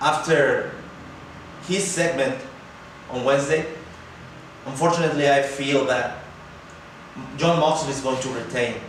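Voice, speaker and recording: Against noticeable background noise and audible room echo, a man with a fairly high pitch for a man speaks at a moderate pace with fairly even intonation and long, frequent pauses. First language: Spanish. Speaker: YouTuber, wrestling fan. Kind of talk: casual vlog commentary. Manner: halting, many fillers and restarts.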